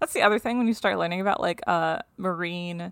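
At a moderate pace, a woman speaks with medium pitch, ordinary pitch variation and vocal fry in a very clean recording with a silent background. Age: 30s. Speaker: science podcast host. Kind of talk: casual chat.

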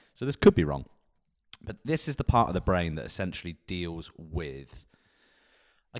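Heard against a silent background on a very clean recording, a man speaks with an English accent. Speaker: podcast co-host. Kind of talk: casual chat. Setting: studio.

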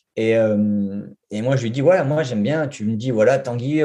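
Dark and mellow in tone, the voice moves with ordinary pitch variation. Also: man. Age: 40s. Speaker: junior web developer. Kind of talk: interview. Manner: halting.

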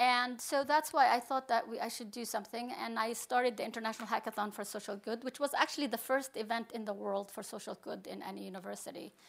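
Talking at a very fast pace with hardly any pauses, a woman uses a fairly high voice with vocal fry, ordinary pitch variation and big swings in loudness. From Palestine. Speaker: computer science professor. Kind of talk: panel discussion.

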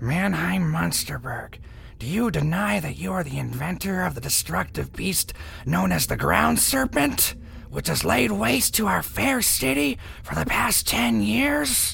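Using a put-on character voice, a man speaks at a fairly low pitch and moderate pace over clear background noise. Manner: smug, prosecutorial.

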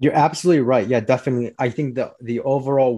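A man with an American accent talks at a very fast pace over a quiet background. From Chicago, US Midwest. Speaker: financial consultant. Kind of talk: casual interview.

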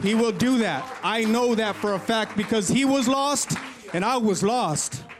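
Recorded with audible room echo and noticeable background noise, a man speaks at a high pitch with an American accent. His pitch variation is ordinary and his loudness very even. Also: fairly slow pace. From California. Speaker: church member giving testimony. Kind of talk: testimony. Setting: church.

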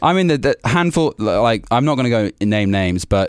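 A man speaks with an English Midlands accent and ordinary pitch variation. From England, Warwickshire. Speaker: singer-songwriter. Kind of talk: interview. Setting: studio.

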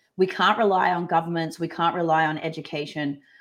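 The speaker has an Australian accent and talks at a moderate pace. The recording is very clean, with a silent background. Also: woman. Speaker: workplace culture and leadership expert. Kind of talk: casual interview chat.

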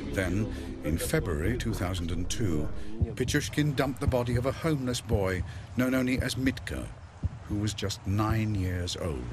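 Music plays in the background as a man speaks at a moderate pace in a fairly low pitch with lively intonation. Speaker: documentary narrator. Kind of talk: true-crime documentary narration. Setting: studio voiceover. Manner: measured, grave, dramatic, steady pacing.

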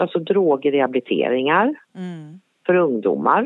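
This woman has an unremarkable speaking voice. Her pitch varies in an ordinary way. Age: 50s. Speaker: forensic psychiatric assistant nurse. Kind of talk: interview. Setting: phone call.

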